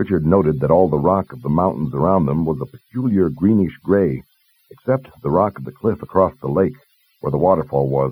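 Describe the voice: A man speaks with an extremely low pitch and a slightly husky edge. His pace is fairly quick, with ordinary pitch variation.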